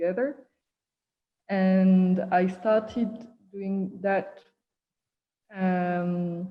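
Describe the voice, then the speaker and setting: Her voice is somewhat breathy. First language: not English. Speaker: artist and performer. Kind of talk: casual chat. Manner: halting.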